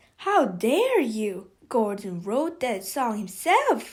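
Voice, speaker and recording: Using a put-on character voice, a woman speaks at a fairly high pitch and a very slow pace. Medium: read story. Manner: loud, squawking, blustering.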